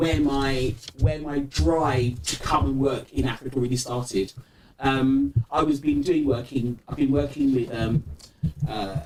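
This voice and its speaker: With a British accent, a man speaks slowly-ish at a fairly slow pace, with medium pitch and fairly even intonation, over noticeable background noise. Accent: UK. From UK, Nigerian diaspora (London area). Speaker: entrepreneurship ecosystem builder. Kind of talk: interview conversation.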